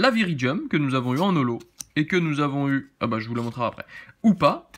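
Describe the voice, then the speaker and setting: A man's fairly high voice at a moderate pace, with lively intonation and an animated tone. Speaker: card-opening YouTuber; card opening youtuber. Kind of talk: unboxing commentary. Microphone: phone near.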